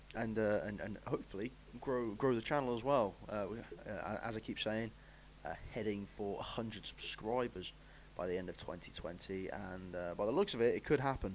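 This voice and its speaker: A man with an English accent talks at a moderate pace, his fairly low voice showing vocal fry. His pitch varies in an ordinary way. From England. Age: 20s. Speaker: football pundit. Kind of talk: live stream commentary. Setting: live stream. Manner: halting.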